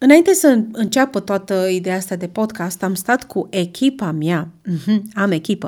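Speaking at a fairly slow pace, a woman with an ordinary speaking voice uses lively intonation at a medium pitch. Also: very clean recording, silent background. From Romania, Brașov. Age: 20s. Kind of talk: casual monologue.

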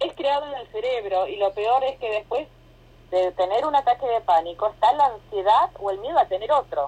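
This woman speaks with an Argentine accent at a moderate pace. Her intonation is lively, and her loudness swings widely. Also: fairly high pitch for a woman. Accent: Argentine Spanish (Rioplatense). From Argentina. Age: 40s. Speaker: yoga teacher. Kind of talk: casual interview. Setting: phone call.

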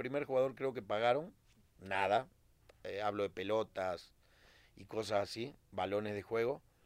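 A man with a plain, everyday voice speaks at a moderate pace. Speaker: retired footballer. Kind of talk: casual interview chat.

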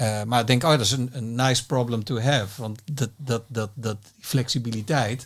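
A man's somewhat breathy voice, medium in pitch, at a moderate pace on a very clean recording with a silent background. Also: fairly even intonation. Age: 50s. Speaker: music industry executive. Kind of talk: interview. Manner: halting.

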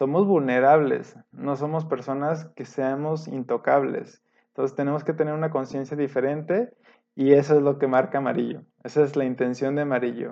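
At a moderate pace and fairly even intonation, a man talks in an ordinary speaking voice with a fairly high pitch. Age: 30s. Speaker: podcast co-host, industrial engineer. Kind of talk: casual chat.

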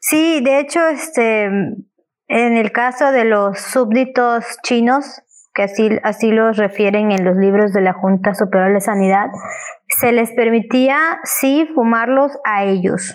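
A woman talks at a very slow pace with very even loudness, her fairly high pitch showing ordinary variation. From Ticul, Yucatán, Mexico. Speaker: historian. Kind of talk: casual chat.

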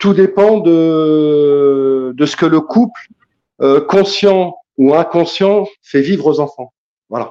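Speaking at a very slow pace, a man leaves long, frequent pauses. His voice is dark and mellow, at a fairly high pitch. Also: ordinary pitch variation. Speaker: caller. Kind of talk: casual debate. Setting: online livestream.

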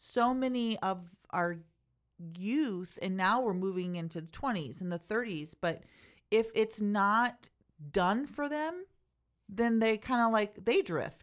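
Set against a silent background in a very clean recording, the speech moves at a fairly slow pace with lively intonation. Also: woman. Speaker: church podcast co-host. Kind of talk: casual chat, podcast discussion. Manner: animated, sassy.

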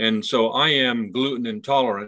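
A man talks in an ordinary speaking voice at a medium pitch. His intonation stays fairly even. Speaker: brewery owner. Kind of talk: casual interview.

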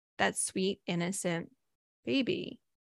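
Bright and sharp in tone, a woman's voice is raised and projected. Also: dry, close sound with no echo. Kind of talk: coaching talk with affirmations, leading toward a guided visualization.

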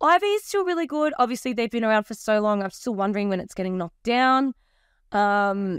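A woman with an Australian accent talks at a fairly quick pace and fairly high pitch with lively intonation, in a dry, close sound with no echo on a very clean recording with a silent background. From Australia, New South Wales Central Coast. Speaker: DJ and entrepreneur. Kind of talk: casual chat. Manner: fast; animated.

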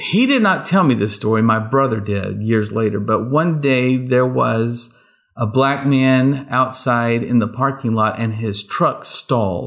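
An unremarkable speaking voice from a man, fairly slow, with ordinary pitch variation, on a very clean recording with a silent background. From rural East Texas. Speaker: podcast co-host, academic teacher. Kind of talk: casual chat.

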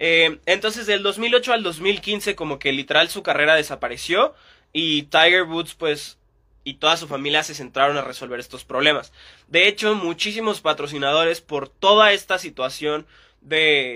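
In an ordinary speaking voice, a man talks at a moderate pace with fairly high pitch, ordinary pitch variation and big swings in loudness. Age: 20s. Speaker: sports podcast host. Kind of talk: casual solo podcast monologue. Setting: Instagram live stream.

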